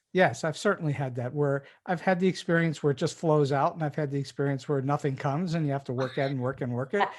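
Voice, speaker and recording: A man talks at a very fast pace with hardly any pauses. His intonation stays fairly even against a quiet background. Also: fairly high pitch for a man. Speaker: podcast host. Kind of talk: interview.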